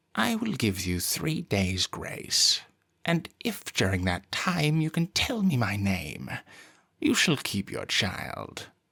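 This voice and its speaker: A man speaks in a put-on character voice at a medium pitch and a fairly slow pace. The recording is very clean with a silent background. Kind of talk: bedtime story. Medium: read story. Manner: sly, impish.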